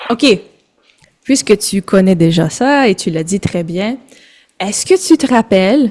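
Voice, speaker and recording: A woman in a Quebec French accent, medium-pitched with lively intonation and long, frequent pauses, in a dry, close sound with no echo. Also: moderate pace. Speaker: French tutor. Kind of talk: casual language lesson. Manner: code-switching French and English.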